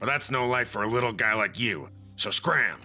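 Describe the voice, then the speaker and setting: A man's growling, cartoonish character voice at medium pitch and a moderate pace, with faint music in the background. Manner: gruff, dismissive.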